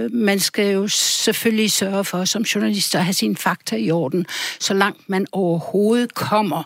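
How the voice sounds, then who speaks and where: A woman at a fairly slow pace with fairly even intonation and very even loudness, over noticeable background noise. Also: medium pitch for a woman. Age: 70s. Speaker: journalist and author. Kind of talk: radio interview. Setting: studio.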